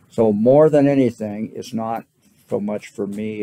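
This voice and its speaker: A man speaks at a very slow pace in a fairly low voice. His tone is dark and mellow. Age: 70s. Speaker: property owner appealing valuation. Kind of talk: testimony at hearing. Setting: county board hearing. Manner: halting.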